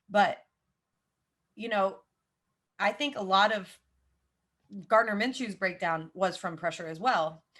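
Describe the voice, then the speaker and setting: Over a quiet background, a woman talks at a fairly slow pace and medium pitch, with ordinary pitch variation and long, frequent pauses. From US South, Jacksonville, Florida. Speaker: football podcaster. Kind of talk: casual chat.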